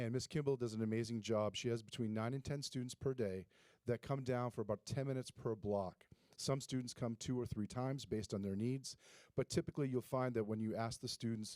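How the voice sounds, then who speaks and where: A man speaks at a fairly quick pace and medium pitch, with fairly even intonation and a dark, mellow tone, in a very clean recording with a silent background and a dry, close sound with no echo. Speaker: school administrator. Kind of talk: presentation at board meeting. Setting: school board meeting. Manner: fast.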